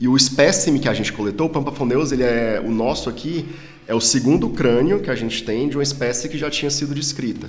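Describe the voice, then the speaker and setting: A man at a very fast pace with ordinary pitch variation and audible room echo. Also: medium pitch for a man. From Ceará, Brazil. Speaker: paleontology professor. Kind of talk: casual interview.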